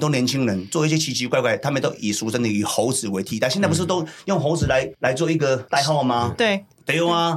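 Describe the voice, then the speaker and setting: Speech in a Taiwanese accent comes very fast with lively intonation. Noticeable background noise runs underneath. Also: man. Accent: Taiwanese Mandarin with Hokkien. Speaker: podcast host, former prisoner. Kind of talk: casual chat. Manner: animated.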